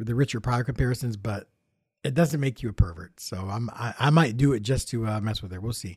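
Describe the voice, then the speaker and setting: A somewhat breathy man with an American accent, fairly quick pace and ordinary pitch variation, on a very clean recording with a silent background. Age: 50s. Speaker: podcast host and YouTube tech reviewer. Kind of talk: solo casual monologue. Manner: halting, many fillers and restarts.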